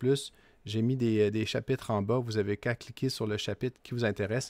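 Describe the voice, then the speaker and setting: The recording is very clean, with a silent background. A man speaks at medium pitch with fairly even intonation. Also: dry, close sound with no echo. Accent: strong Quebec. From Quebec. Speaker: political commentator, channel owner. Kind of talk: casual vlog commentary. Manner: hesitant, many filler 'euh'.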